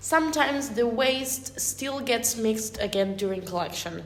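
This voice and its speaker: Pitch varies in an ordinary way. Room echo is audible, and background noise is noticeable. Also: woman. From Argentina, Buenos Aires area. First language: Spanish. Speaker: environmental engineer. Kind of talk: casual chat.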